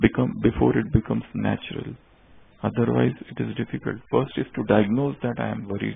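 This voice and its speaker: At a fairly quick pace, a man talks with an Indian accent. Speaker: spiritual teacher. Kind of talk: sermon. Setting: stage with audience.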